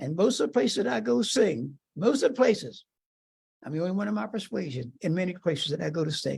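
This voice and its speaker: A man speaks at a very fast pace and fairly high pitch, with vocal fry. His pitch swings very widely. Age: 80s+. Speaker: civil rights march participant and shop owner. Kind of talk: testimony. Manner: halting.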